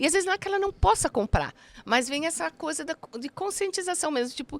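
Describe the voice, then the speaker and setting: A woman speaks at a very fast pace in an extremely high pitch with lively intonation, the sound dry and close with no echo. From Brazil, Paraná. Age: 60s. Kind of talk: casual interview.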